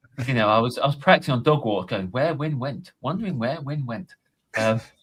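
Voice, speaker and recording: At a fairly quick pace, a somewhat breathy man speaks in a medium pitch with lively intonation. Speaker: podcast co-host. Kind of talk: casual chat.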